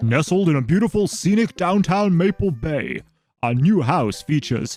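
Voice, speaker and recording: A man's put-on character voice, high-pitched, at a moderate pace over faint background music. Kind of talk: announcer voice. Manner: exaggerated, salesy.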